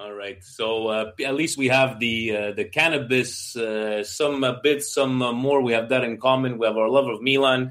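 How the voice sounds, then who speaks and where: A man with an unremarkable speaking voice talks at a moderate pace with hardly any pauses. His medium pitch follows a fairly even intonation. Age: 40s. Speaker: football podcast host. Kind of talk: casual chat.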